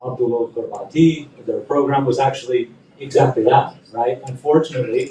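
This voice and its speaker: A man talks in a somewhat breathy voice. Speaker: panelist at a human rights conference. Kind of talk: conference panel presentation. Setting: conference room with audience and translator. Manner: fast.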